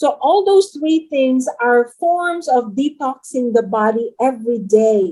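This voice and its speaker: Very slow and lively in intonation, a woman speaks at a high pitch with a dark, mellow tone. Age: 60s. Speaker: supplement distributor. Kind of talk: interview Q&A.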